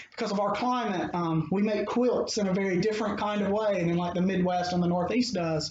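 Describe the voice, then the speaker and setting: Over noticeable background noise, a high-pitched man with a Mississippi accent talks at a fairly quick pace. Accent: Mississippi Southern US. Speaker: anthropologist. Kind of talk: interview conversation. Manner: hesitant, many fillers.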